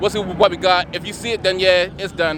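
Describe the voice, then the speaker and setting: There is noticeable background noise behind this man. He talks very fast in a high pitch, with monotone, flat intonation. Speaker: car vlogger. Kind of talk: casual vlog chat. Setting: outdoors at drift track. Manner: loud.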